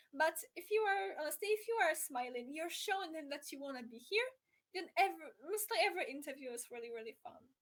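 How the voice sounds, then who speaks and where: In a Polish accent, a woman with an extremely high voice talks very fast. Her pitch swings very widely and her loudness rises and falls sharply. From Poland. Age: young. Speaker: motorsport journalist. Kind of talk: casual interview chat. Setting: live stream.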